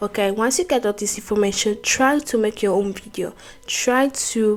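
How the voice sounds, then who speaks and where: With a non-native accent, a woman speaks slowly at a fairly high pitch amid noticeable background noise. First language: not English. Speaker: YouTuber, self-improvement talk. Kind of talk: motivational talk to camera. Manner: halting, with self-corrections.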